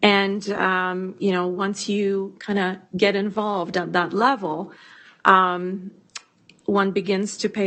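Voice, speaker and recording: This woman has a non-native accent. Her delivery is fairly slow. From immigrant refugee to Canada. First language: not English. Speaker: school board trustee. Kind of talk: committee meeting self-introduction. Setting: boardroom meeting.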